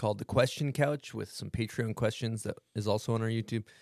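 With an American accent, a man speaks at a fairly quick pace and a medium pitch. The recording is very clean with a silent background. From US South. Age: 30s. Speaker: podcast host. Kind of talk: casual chat.

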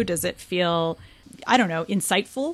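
At a moderate pace and with lively intonation, a woman talks in a plain, everyday voice. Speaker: podcast host and tech culture editor. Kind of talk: casual chat.

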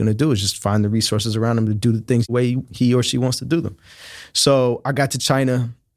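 An unremarkable speaking voice from a man, medium in pitch with fairly even intonation. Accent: American. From Oakland, California. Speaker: tech company founder and CEO. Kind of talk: interview.

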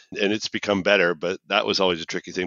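A man with a Canadian accent speaks in a very deep, low pitch. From Canada, Toronto. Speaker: accessibility technology manager. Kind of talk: casual chat.

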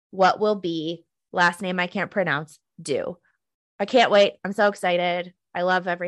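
The background stays quiet. Someone reads in an unforced voice.

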